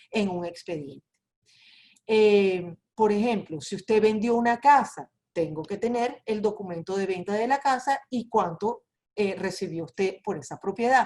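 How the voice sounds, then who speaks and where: A woman with a Venezuelan accent, fairly high in pitch, at a fairly slow pace. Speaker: immigration lawyer. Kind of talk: webinar presentation.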